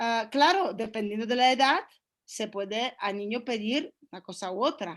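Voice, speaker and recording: Speaking with a Polish accent, a woman uses lively intonation and big swings in loudness. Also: fairly high pitch for a woman, moderate pace. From Poland. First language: Polish (speaking Spanish). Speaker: workshop participant. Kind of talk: group discussion comment.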